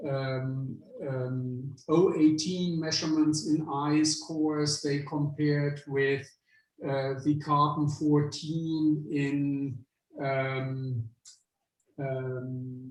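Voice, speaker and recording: A man speaks very slowly with a German-speaking European accent, his fairly high voice somewhat breathy and his intonation flat and monotone. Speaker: visiting lecturer, climate scientist professor. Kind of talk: Q&A after a scientific lecture. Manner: hesitant, many fillers.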